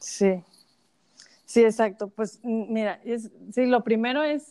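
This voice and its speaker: A woman with a Mexican accent talks in a fairly high voice with fairly even intonation. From Mexico. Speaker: social media influencer. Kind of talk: interview.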